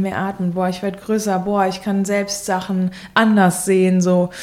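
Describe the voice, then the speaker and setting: A woman talks in a normal speaking voice at a medium pitch. Her pace is fairly slow. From Germany, Hesse. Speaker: singer-songwriter. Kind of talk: casual interview.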